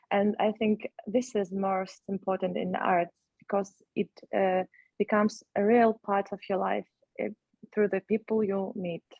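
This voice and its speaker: A woman speaks with a Ukrainian accent at a medium pitch and a fairly slow pace. Her intonation is monotone and flat, broken by long, frequent pauses. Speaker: actress. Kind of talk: panel discussion. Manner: halting.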